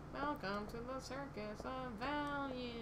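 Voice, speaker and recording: A woman does a put-on character voice at a fairly slow pace against loud background noise. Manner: cheery, sales-pitch.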